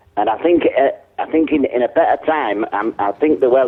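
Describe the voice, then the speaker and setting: Someone speaks at a fairly quick pace in a Yorkshire accent. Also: man. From Yorkshire, Hull. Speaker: prank call target. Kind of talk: phone conversation. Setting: phone call.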